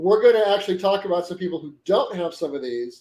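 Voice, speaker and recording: This man's voice sits high in pitch, with a dark, mellow tone and ordinary pitch variation. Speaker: co-host, collector friend. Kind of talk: casual live stream chat.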